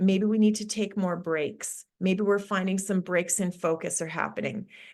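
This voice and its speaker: It is an unremarkable speaking voice, a woman's with a Canadian accent. She speaks at a moderate pace and medium pitch with ordinary pitch variation. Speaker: sport psychologist. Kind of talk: webinar presentation.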